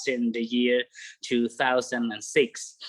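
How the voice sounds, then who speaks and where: A man speaks very slowly with a Cambodian accent. His intonation is lively, and the background is quiet. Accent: Cambodian (Khmer). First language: Khmer. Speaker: bird guide. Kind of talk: online presentation. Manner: halting.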